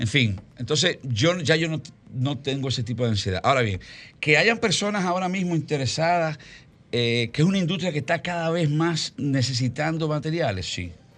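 A man's fairly high-pitched, normal speaking voice at a moderate pace, with lively intonation over a quiet background. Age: 50s. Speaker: film producer. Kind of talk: interview.

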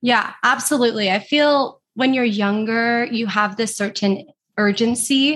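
On a very clean recording with a silent background, a woman with a plain, everyday voice talks at a moderate pace with fairly even intonation. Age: 20s. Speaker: social media manager and entrepreneur. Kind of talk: interview.

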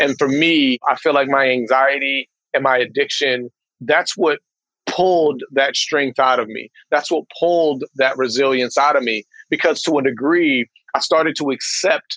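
A man with a fairly high pitch speaks at a moderate pace with fairly even intonation, in an ordinary speaking voice. The sound is dry and close, with no echo. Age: 30s. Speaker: tea company founder and author. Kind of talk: interview.

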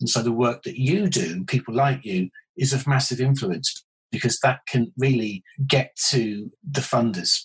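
With a British accent, a man speaks at a fairly slow pace, somewhat breathy, with lively intonation. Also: medium pitch for a man. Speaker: consultant urologist. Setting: video call.

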